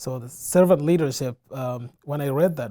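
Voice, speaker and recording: This man speaks with a West African accent at a medium pitch and a moderate pace, his tone dark and mellow with ordinary pitch variation. The recording is very clean, with a silent background. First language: Fulani. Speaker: community center director. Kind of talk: interview. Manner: hesitant, many fillers.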